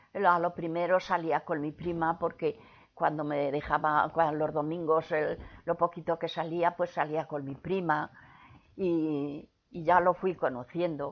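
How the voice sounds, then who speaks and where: Her pitch fairly low, a woman speaks at a fairly slow pace with monotone, flat intonation. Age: 80s+. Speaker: grandmother recalling the Spanish Civil War era. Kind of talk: interview answer.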